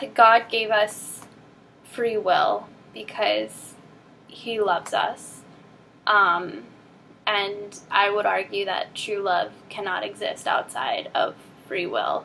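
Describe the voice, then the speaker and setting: Amid noticeable background noise, a woman speaks at a very slow pace, with long, frequent pauses. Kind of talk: casual talk to camera. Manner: hesitant, many filler ums.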